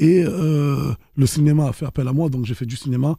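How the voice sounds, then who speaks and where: A somewhat breathy man's voice pitched fairly high. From Marseille, France. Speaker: rapper and actor. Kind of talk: interview answer. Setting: studio. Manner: casual, relaxed.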